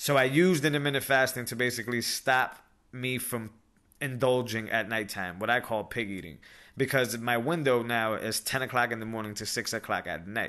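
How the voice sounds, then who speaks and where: A man talks at a fairly quick pace and medium pitch, with ordinary pitch variation and a bright, sharp tone. The background is quiet. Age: 30s. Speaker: podcast host. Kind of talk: solo monologue podcast. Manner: casual, filler-heavy.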